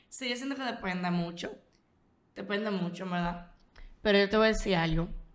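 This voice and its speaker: A woman's medium-pitched voice in audible room echo, fairly quick with ordinary pitch variation and long, frequent pauses. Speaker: podcast co-host. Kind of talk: casual chat.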